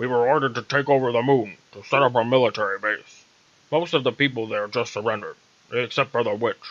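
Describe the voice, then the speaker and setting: Putting on a character voice, a man talks loudly at a very fast pace, his medium pitch held in fairly even intonation. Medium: read story. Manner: loud, blustering.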